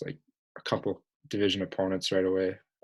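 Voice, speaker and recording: Moving at a fairly quick pace, a man talks in a very deep, low pitch. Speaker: podcast host. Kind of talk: casual chat. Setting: home basement, late at night. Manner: quiet, hushed.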